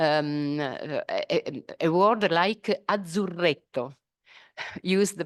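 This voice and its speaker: A woman's fairly low voice, dry and close with no echo, over a quiet background. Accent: Italian. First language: Italian. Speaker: professor. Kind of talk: lecture. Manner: halting, many fillers.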